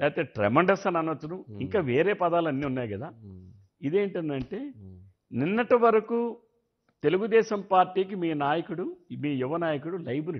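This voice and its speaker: A high-pitched man with lively intonation against a quiet background. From Andhra Pradesh. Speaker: politician, former legislator; politician. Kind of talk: political interview. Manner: loud, forceful. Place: studio. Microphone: lapel.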